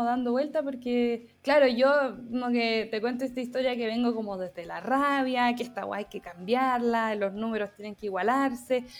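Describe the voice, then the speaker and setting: A woman with a high pitch talks at a moderate pace with hardly any pauses and ordinary pitch variation, over noticeable background noise. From Chile, San Felipe. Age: 20s. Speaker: graphic designer and photographer. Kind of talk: casual interview chat. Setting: video call.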